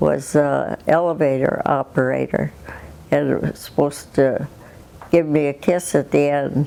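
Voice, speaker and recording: Speaking at a fairly slow pace, a woman talks in an Upper Midwest accent. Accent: Upper Midwest American. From southwestern Minnesota, USA. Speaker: retired farm woman. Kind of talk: interview answer.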